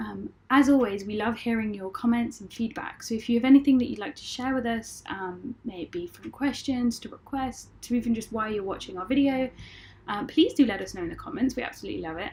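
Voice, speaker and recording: The woman talks at a fairly quick pace and fairly high pitch. Her pitch variation is ordinary, while her loudness swings widely. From UK. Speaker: illustrator. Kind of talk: casual outro. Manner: halting, many fillers.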